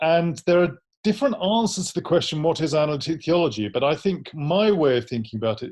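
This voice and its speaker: Speaking very fast with an English accent, a man sounds somewhat breathy and uses lively intonation. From London, England. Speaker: theology professor. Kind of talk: interview.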